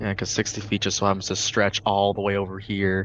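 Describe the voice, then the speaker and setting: A put-on character voice talks at a low pitch and a fairly quick pace, with monotone, flat intonation. Background noise is clearly audible. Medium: actual play. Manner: grumpy, old-fashioned exclamations.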